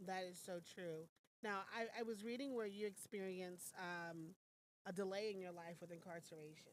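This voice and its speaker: A woman speaks with an American accent in an ordinary speaking voice. Her pitch is medium and her intonation fairly even. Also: moderate pace. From US South, Atlanta, Georgia. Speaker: morning show host. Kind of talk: casual interview chat. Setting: studio.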